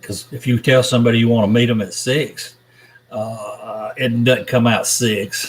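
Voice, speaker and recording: With a Southern accent, a man speaks at a medium pitch and a fairly slow pace with fairly even intonation, amid noticeable background noise. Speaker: YouTuber reading live chat. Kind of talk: live stream chat. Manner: casual, meandering.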